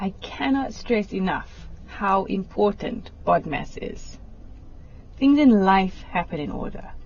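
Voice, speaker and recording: A woman speaks at a very slow pace with big swings in loudness against noticeable background noise. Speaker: maths teacher. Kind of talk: lesson on TV. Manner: slow, deliberate.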